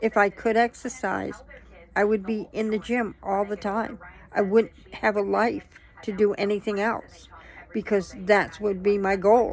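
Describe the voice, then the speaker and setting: In a medium-pitched, monotone, flat delivery, a woman speaks at a fairly slow pace. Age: 60s. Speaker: vlogger sharing personal health struggles. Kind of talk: personal testimony monologue. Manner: halting, with many fillers.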